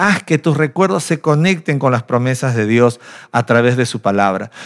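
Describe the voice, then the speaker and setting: A man speaks with lively intonation, keeping a fairly slow pace. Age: 40s. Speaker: pastor. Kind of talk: sermon. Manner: animated.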